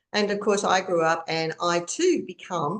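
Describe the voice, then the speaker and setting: A woman talks with an Australian accent. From Australia (Queensland). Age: 60s. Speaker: author and trauma coach. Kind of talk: interview testimony. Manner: halting.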